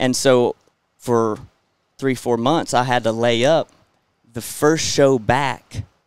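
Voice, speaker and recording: At a very slow pace with long, frequent pauses, a man with a Southern US accent talks at a medium pitch. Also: fairly even intonation. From Florida, US. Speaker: rodeo clown and entertainer. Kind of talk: casual interview chat. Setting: outdoors at a bull riding event. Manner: halting, repeats words.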